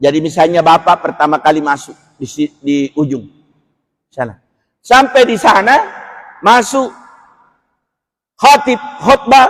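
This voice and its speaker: Loud and animated, a man with a high pitch speaks at a fairly slow pace, with very wide pitch swings and long, frequent pauses. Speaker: Islamic preacher. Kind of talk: religious lecture. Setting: mosque.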